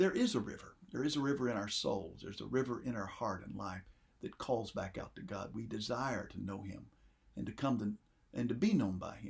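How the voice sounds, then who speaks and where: Lively intonation and vocal fry mark this man's speech. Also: medium pitch for a man, fairly quick pace. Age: old. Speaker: pastor. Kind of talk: sermon.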